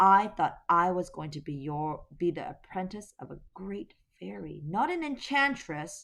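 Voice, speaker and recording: In a put-on character voice, the speaker talks in a shaky tone at a middle pitch and moderate pace, on a very clean recording with a silent background. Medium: read story. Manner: timid, trembling.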